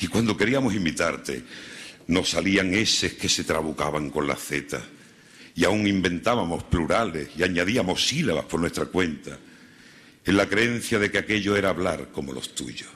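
A man's very deep, low voice with vocal fry, a dramatic tone, lively intonation, and a moderate pace. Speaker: Holy Week orator. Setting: stage with audience. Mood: solemn, lyrical. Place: stage. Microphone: podium.

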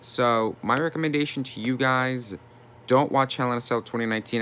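A man talks at a moderate pace with an animated, bright, sharp tone. His pitch varies in an ordinary way. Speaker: YouTuber wrestling commentator. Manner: animated, indignant, exasperated. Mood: frustrated, disappointed. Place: home room. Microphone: phone near.

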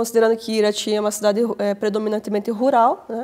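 A fairly high-pitched woman at a fairly quick pace, with fairly even intonation and a quiet background. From Paraná, Brazil (Irati); Paraná, Brazil. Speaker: historian and teacher; teacher. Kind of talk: academic interview. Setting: studio. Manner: halting, many fillers. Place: studio. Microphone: lapel.

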